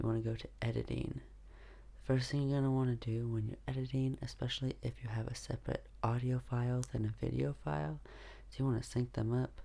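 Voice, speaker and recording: At a fairly quick pace, a soft-spoken man talks. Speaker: YouTuber. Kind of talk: tutorial. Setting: at home.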